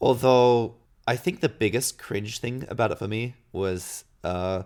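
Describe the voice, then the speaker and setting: In a very clean recording with a silent background, a man with a slight Australian accent speaks at a fairly slow pace, medium in pitch, with ordinary pitch variation. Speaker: gaming podcast co-host. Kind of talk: casual chat.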